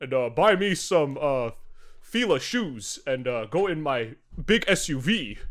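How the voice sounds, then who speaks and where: A man puts on a character voice with a fairly high pitch. He talks at a very slow pace with very wide pitch swings. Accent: American. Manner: mocking.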